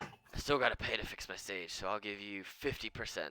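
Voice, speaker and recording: In a put-on character voice, the speaker growls in a gruff way at a fairly quick pace with ordinary pitch variation. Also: man, fairly low pitch for a man. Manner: growling, gruff.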